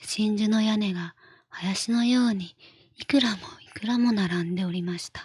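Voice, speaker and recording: A soft-spoken woman whispers at a fairly slow pace, somewhat breathy. The sound is dry and close with no echo. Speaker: virtual streamer. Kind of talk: bedtime story reading. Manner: whispered, soft, relaxed; slow, leisurely.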